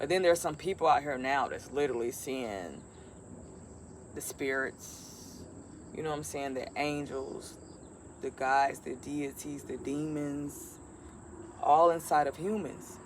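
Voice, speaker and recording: Speaking at a fairly slow pace, a woman uses a very deep, low pitch with ordinary variation and long, frequent pauses. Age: 40s. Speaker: spiritual medium and self-styled prophet. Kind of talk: casual spiritual monologue to camera. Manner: occasional stutter.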